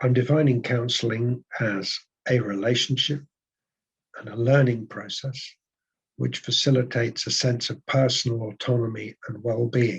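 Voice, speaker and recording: The speaker is somewhat breathy, talking at a moderate pace in a monotone, flat intonation. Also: man, medium pitch for a man. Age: 70s. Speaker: psychotherapist and PhD researcher. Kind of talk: presentation. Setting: webinar.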